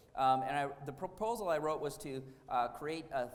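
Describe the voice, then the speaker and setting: Audible room echo surrounds a man with an American accent who talks at a fairly quick pace. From Wisconsin, US Midwest. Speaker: architect. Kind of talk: lecture. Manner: hesitant, many fillers.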